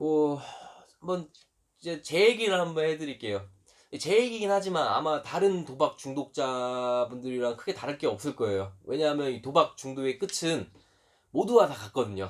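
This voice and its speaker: This man has a fairly high pitch. His pitch swings very widely. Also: moderate pace. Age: 20s. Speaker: YouTuber, recovering gambling addict. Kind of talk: personal testimony monologue.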